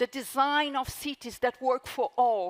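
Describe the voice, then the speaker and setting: Using a high pitch with ordinary variation, a woman speaks in a Brazilian accent, the sound dry and close with no echo. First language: Portuguese. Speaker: author. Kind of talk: talk to live audience; audience Q&A answer.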